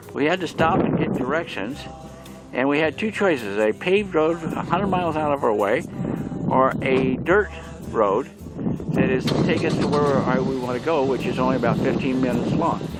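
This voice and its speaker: Amid noticeable background noise and audible room echo, a man with an American accent speaks at a moderate pace, his fairly high voice lively in intonation. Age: 70s. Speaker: vlogger. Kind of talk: casual narration. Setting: outdoors.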